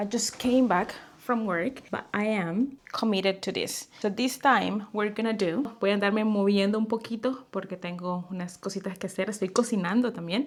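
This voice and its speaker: A woman speaks at a medium pitch with a Spanish accent, her intonation fairly even. She talks at a moderate pace with hardly any pauses, over noticeable background noise. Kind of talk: casual talk to camera. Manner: switches between English and Spanish.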